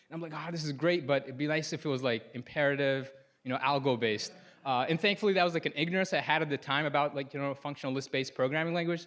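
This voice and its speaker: Very fast speech from a man with an Arabic accent, fairly high in pitch, with ordinary pitch variation. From Sudan, moved to US at nine. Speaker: software programmer presenting his project. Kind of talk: conference talk. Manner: casual, many fillers and self-corrections.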